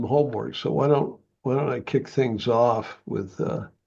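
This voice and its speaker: Speaking at a fairly slow pace, a man with a dark, mellow tone and vocal fry holds a medium pitch with ordinary pitch variation against a quiet background. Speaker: community volunteer. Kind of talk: casual meeting discussion. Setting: video call. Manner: halting.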